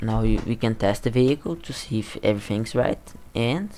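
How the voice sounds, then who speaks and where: A man's dark, mellow voice with a non-native accent, fairly low in pitch, at a moderate pace with ordinary pitch variation. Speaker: game development youtuber. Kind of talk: screen-recorded tutorial. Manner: halting, repeats words.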